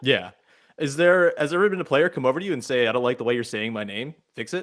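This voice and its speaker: Very fast male speech at a fairly high pitch, with lively intonation. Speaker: podcast host. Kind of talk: podcast host interview.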